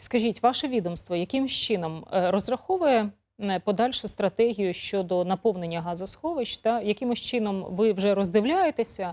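In a very clean recording with a silent background, a woman with a plain, everyday voice speaks at a medium pitch and moderate pace with lively intonation. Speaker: TV news presenter. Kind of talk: TV interview. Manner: conversational.

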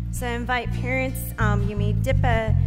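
Loud music plays in the background. Over it, a woman speaks at a moderate pace. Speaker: pastor leading a baptism affirmation. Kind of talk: liturgy reading. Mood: solemn, measured. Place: church.

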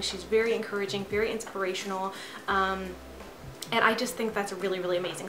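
A woman talks at a fairly quick pace in monotone, flat intonation. Noticeable background noise runs underneath. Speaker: vlogger. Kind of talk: casual vlog chat. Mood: warm, admiring.

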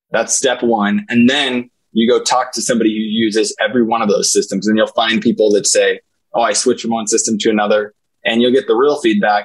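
A man speaks very fast, with a quiet background behind him. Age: 40s. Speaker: senior living executive. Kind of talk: interview. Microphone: earbuds.

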